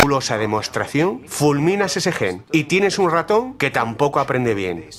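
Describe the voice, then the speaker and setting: A man's fairly high-pitched voice at a moderate pace, with very wide pitch swings. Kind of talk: documentary dub.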